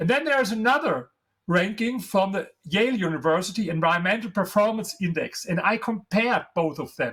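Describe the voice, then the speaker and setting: With a German accent, a man speaks at a fairly quick pace in a high pitch with lively intonation. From Germany. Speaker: author and historian. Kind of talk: interview. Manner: animated.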